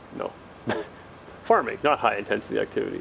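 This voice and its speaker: With noticeable background noise behind him, a man speaks in a relaxed tone. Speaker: gaming video creator. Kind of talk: gameplay commentary. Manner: stuttering, self-correcting; casual, relaxed.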